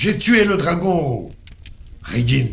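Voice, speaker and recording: A man's high-pitched, put-on character voice with audible echo. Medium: read story.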